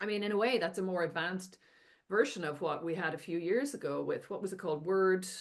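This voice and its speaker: With an Irish accent, a woman speaks at a very fast pace. Her pitch is medium, with ordinary pitch variation. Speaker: AI and education scholar, author. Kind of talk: podcast interview discussion.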